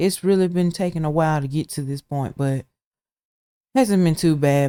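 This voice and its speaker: With a Southern US accent, a man speaks at a fairly quick pace in a fairly high pitch and a dark, mellow tone, with fairly even intonation, on a very clean recording with a silent background and a dry, close sound with no echo. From Alabama. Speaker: gaming YouTuber. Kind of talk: gameplay commentary. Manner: casual, with fillers; loud. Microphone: laptop recording, volume wonky.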